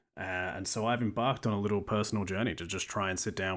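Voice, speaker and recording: Someone talks at a very fast pace in an Australian accent. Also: man. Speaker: podcast host. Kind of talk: scripted narration.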